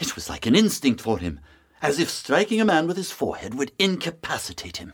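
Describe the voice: Putting on a character voice, a man talks fairly quickly at a fairly high pitch, with a fairly bright tone, a slightly husky edge and very wide pitch swings.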